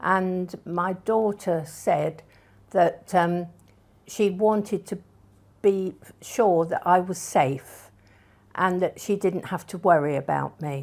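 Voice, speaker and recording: A woman speaks at a very slow pace in a medium pitch, with fairly even intonation and long, frequent pauses. The recording is very clean, with a silent background. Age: 80s+. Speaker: retirement home resident. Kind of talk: interview testimony.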